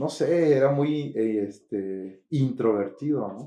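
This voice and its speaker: There is audible room echo around this man's voice. He speaks at a medium pitch with ordinary pitch variation. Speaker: pastor. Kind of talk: testimony. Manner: halting.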